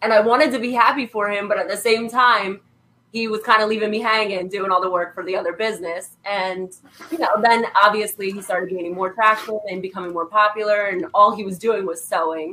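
A woman talks at a fairly quick pace in an ordinary speaking voice. Her medium pitch shows ordinary variation, while her loudness swings widely. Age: 20s. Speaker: artist. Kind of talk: casual chat.

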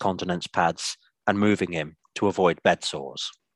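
In a very clean recording with a silent background, a man with a very deep, low voice speaks with fairly even intonation, and the sound is dry and close with no echo. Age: 30s. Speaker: story reader. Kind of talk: reading aloud.

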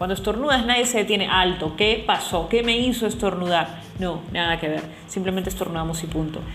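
A woman speaks at a fairly quick pace and medium pitch with ordinary pitch variation, amid noticeable background noise and audible room echo. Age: 20s. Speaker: podcaster. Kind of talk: personal monologue. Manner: halting.

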